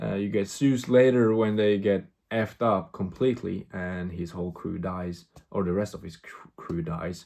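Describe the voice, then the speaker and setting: A man with a non-native accent speaks at a moderate pace in a dark, mellow tone. His pitch varies in an ordinary way, his loudness swings widely, and the background is quiet. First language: not English. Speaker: vlogger, movie reviewer. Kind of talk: casual vlog movie review. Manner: halting, many fillers and repetitions; animated.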